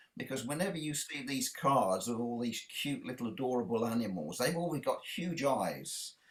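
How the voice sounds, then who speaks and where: The speaker has a British accent and lively intonation. The pace is moderate, with hardly any pauses. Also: man, medium pitch for a man. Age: 60s. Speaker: children's author and illustrator. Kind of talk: interview. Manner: halting.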